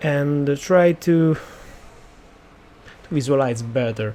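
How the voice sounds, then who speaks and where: A man speaks very slowly with an Italian accent. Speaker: 3D sculpting artist. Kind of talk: tutorial. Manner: halting, many fillers.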